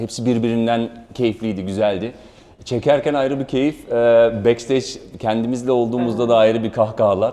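Using a normal speaking voice, a man talks at a fairly quick pace with medium pitch and fairly even intonation. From Germany. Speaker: actor. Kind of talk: promotional interview.

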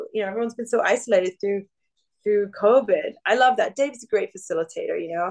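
Here a woman talks at a very fast pace in a fairly high pitch with ordinary pitch variation. The background is quiet. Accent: English. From England. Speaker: singer-songwriter; podcast guest. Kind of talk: casual chat. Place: home room. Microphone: video call.

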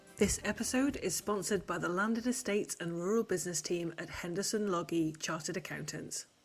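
With music in the background, a woman speaks fairly quickly, with hardly any pauses and ordinary pitch variation. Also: fairly low pitch for a woman. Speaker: podcast host. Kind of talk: podcast hosting.

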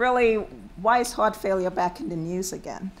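Over light background noise, a woman talks at a moderate pace with ordinary pitch variation. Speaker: panel moderator. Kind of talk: panel introduction. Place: hall. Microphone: podium.

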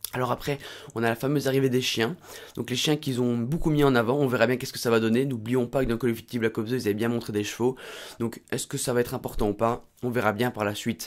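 A man's very fast, medium-pitched speech with fairly even intonation. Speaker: gaming youtuber. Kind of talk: casual video commentary. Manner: hesitant, many repetitions.

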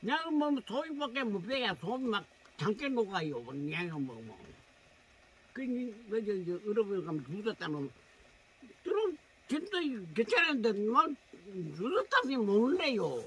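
Heard dry with no echo, a man with a high pitch and very wide pitch swings talks at a very slow pace, leaving long, frequent pauses. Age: old. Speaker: mountain-dwelling slash-and-burn farmer; rural elder host. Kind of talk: casual chat; casual conversation. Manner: halting. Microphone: camera far.

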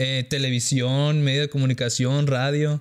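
Over a quiet background, a man delivers his words at a moderate pace with monotone, flat intonation. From Sonora, northern Mexico. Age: 30s. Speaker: content creator. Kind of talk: casual interview chat. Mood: relaxed, conversational. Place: studio. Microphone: studio mic.

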